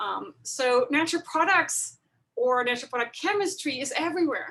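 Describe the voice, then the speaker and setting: A woman with a German accent has a bright, sharp tone. She speaks fairly slowly with ordinary pitch variation. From Germany. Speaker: chemistry professor. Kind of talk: webinar lecture. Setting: video call webinar.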